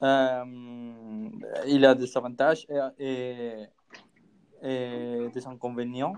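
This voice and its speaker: The speaker talks at a very slow pace with a Spanish accent. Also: man. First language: Spanish (speaking French). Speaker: podcast co-host. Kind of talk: casual discussion. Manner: halting.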